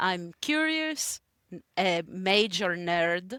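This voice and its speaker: A bright, sharp tone with a dry, close sound and no echo. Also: woman. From Greece. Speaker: negotiation strategist and educator. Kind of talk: interview.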